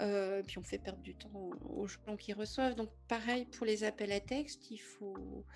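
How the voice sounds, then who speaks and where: Talking at a fairly slow pace, a woman's voice shows big swings in loudness. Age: 50s. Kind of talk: interview.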